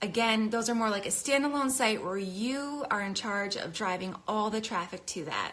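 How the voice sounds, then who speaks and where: A woman speaks at a fairly high pitch with a bright, sharp tone. Her pitch varies in an ordinary way, and audible room echo surrounds her. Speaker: craft business educator. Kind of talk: live stream tutorial. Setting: Instagram live video. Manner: fast; casual, filler-heavy.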